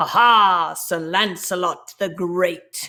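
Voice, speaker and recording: In a put-on character voice, a female-sounding speaker growls at a middle pitch in a gruff tone at a very slow pace, on a very clean recording with a silent background. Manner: shouting, boastful.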